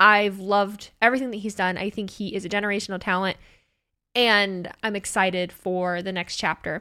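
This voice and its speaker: Bright and sharp in tone, a woman speaks in an animated way at a fairly quick pace on a very clean recording with a silent background. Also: medium pitch for a woman. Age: 30s. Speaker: wrestling content creator and streamer. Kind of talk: casual solo podcast monologue. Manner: animated, laughing often.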